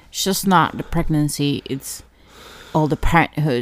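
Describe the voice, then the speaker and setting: This woman speaks with a very deep, low pitch. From Ecuador. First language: Spanish. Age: 30s. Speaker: podcast host, stay-at-home mother. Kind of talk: casual chat. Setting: home bedroom.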